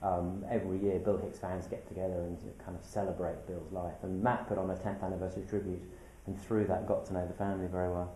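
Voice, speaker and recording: A man with a British accent speaks very fast in a very deep, low voice with flat, monotone intonation. Noticeable background noise and audible room echo fill the recording. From UK. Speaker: documentary filmmaker. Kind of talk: interview.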